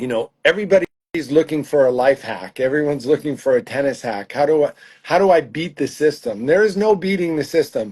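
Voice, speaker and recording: An unremarkable speaking voice from a man, fairly high in pitch, with lively intonation and a fairly quick pace. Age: 60s. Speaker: tennis coach. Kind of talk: interview.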